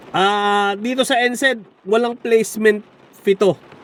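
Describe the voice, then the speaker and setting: Very slowly, a man speaks in a voice that is high for a man. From Philippines. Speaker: vlogger. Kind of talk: casual vlog. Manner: halting.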